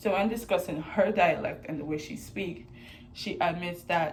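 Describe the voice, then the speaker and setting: Noticeable background noise and audible room echo surround a woman whose pitch is fairly low. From Sint Maarten, Caribbean. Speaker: student. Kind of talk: class presentation.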